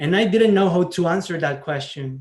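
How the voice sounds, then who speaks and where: This is a man speaking. He has a Salvadoran accent. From El Salvador. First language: Spanish. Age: 20s. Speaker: scholarship recipient, community college student. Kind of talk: award speech. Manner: halting.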